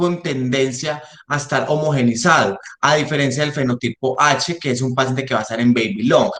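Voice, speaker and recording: A man's voice with ordinary pitch variation. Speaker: respiratory therapist in intensive care. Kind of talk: lecture. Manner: fast.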